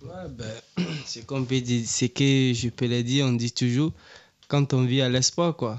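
This man talks at a very slow pace, his medium-pitched voice following a fairly even intonation. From Ivory Coast, Abidjan. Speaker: refugee guest. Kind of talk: radio interview.

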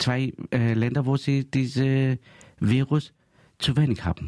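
Speaking very slowly in a Greek accent, a man uses a medium pitch with fairly even intonation. His tone is dark and mellow. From Greece. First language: Greek (speaking German). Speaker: community radio host. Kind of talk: casual chat.

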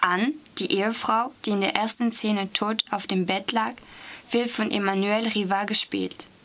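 Over noticeable background noise, a woman with a French accent speaks fairly slowly at a medium pitch, her intonation fairly even. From Strasbourg, France. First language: French (speaking German). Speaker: language student. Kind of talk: reading aloud.

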